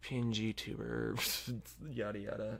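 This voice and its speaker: The man is soft-spoken. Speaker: streamer reacting to a game showcase. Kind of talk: live stream reaction, casual. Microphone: audio setup still being figured out, may sound bad.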